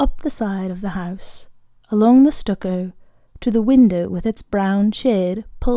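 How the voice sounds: This recording features a natural reading voice.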